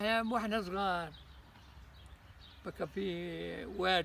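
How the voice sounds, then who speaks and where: A man speaks with a Palestinian accent. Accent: Palestinian rural Arabic. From Palestine, Haifa region. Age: 80s+. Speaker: Nakba survivor, refugee. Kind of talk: oral history interview answer.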